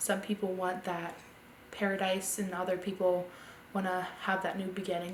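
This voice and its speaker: A woman with an American accent talks at a fairly quick pace in a medium pitch. There is audible room echo and noticeable background noise. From US Mid-Atlantic, Delaware. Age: 20s. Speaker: interviewee. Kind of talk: interview testimony.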